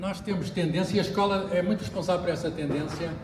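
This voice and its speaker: A man with a European Portuguese accent speaks in a high pitch with fairly even intonation. Noticeable background noise and audible room echo fill the recording. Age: 60s. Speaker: physicist. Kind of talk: book launch talk. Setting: bookshop with audience. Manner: hesitant, with fillers.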